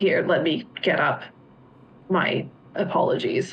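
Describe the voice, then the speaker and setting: Putting on a raspy character voice, a woman speaks at a fairly slow pace. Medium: actual play. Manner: terse, proud.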